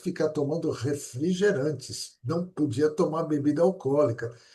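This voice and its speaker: Somewhat breathy male voice, fairly high in pitch, dark and mellow in tone, at a moderate pace with ordinary pitch variation. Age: 70s. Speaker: interview show host. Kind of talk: interview chat.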